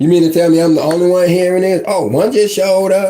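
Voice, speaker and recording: A loud, animated man with an American accent, high-pitched, talking at a fairly quick pace over noticeable background noise. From West Virginia. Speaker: online life coach. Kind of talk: casual live-stream rant. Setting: live stream.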